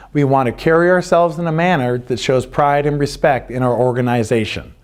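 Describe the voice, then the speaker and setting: A very clean recording with a silent background: a man at a fairly high pitch, moderate pace and ordinary pitch variation. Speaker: youth lacrosse coach. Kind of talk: instructional presentation.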